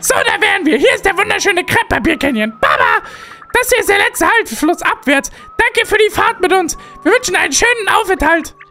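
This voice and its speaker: A put-on character voice at an extremely high pitch, fairly quick in pace, with lively intonation and very even loudness. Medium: game stream. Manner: hearty, booming exclamations.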